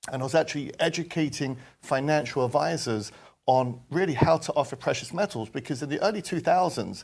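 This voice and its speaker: A man with a London accent, fairly high-pitched and fairly quick, on a very clean recording with a silent background. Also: ordinary pitch variation. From London, England. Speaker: precious metals company executive. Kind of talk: interview.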